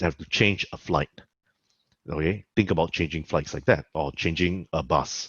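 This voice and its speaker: With ordinary pitch variation, a man talks at a moderate pace in a very deep, low pitch. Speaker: lecturer. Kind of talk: lecture.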